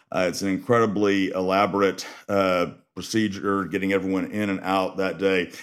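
In a Texas accent, a man speaks at a moderate pace in a very deep, low voice with monotone, flat intonation. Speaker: death penalty defense lawyer. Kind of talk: interview.

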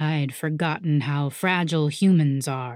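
A put-on, rumbling character voice at a moderate pace in a very clean recording with a silent background. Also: woman.

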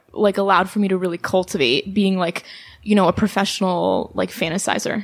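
This woman has an American accent and a normal speaking voice. Her pitch is medium, with ordinary variation. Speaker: artist and writer. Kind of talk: casual chat.

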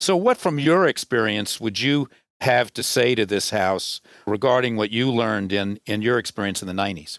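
On a very clean recording with a silent background, the sound is dry and close with no echo. A man speaks in an unremarkable speaking voice with ordinary pitch variation. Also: medium pitch for a man, moderate pace. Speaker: podcast host. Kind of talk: interview questions.

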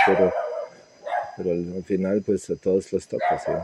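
A man talks with a Serbian accent. Noticeable background noise sits behind him. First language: Serbian (speaking Spanish). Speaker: immigrant interviewee. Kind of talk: interview testimony. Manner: halting, repeated words.

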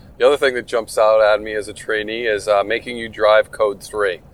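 This man has an unremarkable speaking voice, medium in pitch with ordinary pitch variation, and talks at a fairly quick pace. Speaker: retired game warden, podcast host. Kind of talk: casual interview conversation.

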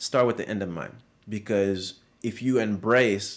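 A man's fairly low voice with a French accent, moderate pace and ordinary pitch variation, in a very clean recording with a silent background. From Guinea, West Africa. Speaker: fashion brand founder. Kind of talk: casual interview chat. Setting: studio.

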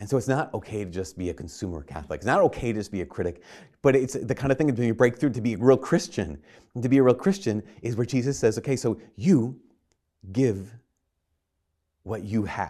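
A man speaks at a medium pitch with a dark, mellow tone, his voice swinging very widely in pitch at a fairly quick pace against a quiet background. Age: 40s. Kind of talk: sermon. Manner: halting.

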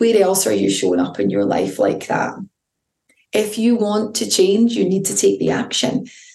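The delivery has an animated tone at a moderate pace. Audible room echo surrounds the voice. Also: woman. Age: 40s. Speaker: podcast host and intuitive coach. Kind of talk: solo motivational talk.

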